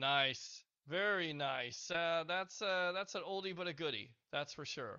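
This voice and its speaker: At a fairly slow pace, a man with a high voice talks with ordinary pitch variation. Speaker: podcast co-host. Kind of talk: casual sports talk podcast.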